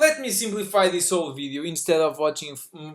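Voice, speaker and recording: This man's pitch is fairly high, with ordinary variation. He speaks at a fairly quick pace. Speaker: reaction video commentator. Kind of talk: reaction commentary. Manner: loud; animated.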